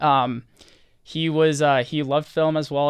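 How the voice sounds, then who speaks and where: A man with an American accent speaks in a very clean recording with a silent background. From Southern California. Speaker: student filmmaker. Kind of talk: radio interview.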